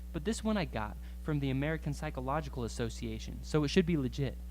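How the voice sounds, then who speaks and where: Very fast and flat in a monotone, a man talks with a very deep, low pitch and a somewhat breathy voice. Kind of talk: spoken word poetry performance.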